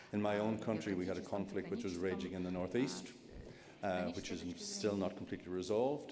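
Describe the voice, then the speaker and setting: A man with an Irish accent talks at a fairly quick pace with a fairly low pitch and ordinary pitch variation. There is audible room echo. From Ireland. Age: 60s. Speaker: journalist. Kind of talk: panel discussion.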